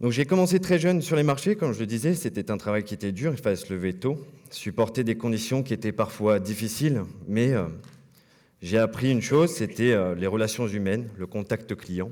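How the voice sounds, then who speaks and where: Intonation rises and falls in a lively way. The man keeps a fairly quick pace. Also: medium pitch for a man. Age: 30s. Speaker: former trainee, boat salesman. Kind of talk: conference talk. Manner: hesitant, many filler words.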